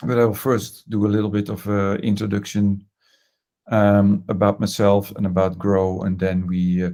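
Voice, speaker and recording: A man's dark, mellow voice, fairly low in pitch, at a moderate pace with monotone, flat intonation, on a very clean recording over a silent background. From Netherlands. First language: Dutch. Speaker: design management consultant. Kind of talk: presentation. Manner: hesitant, many fillers.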